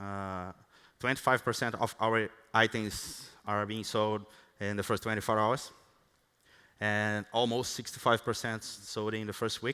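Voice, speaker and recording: A man with a Brazilian Portuguese accent talks fairly slowly in a fairly low, bright, sharp voice. His intonation is monotone and flat, broken by long, frequent pauses. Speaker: software engineer. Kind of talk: conference talk. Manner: halting, many fillers and restarts.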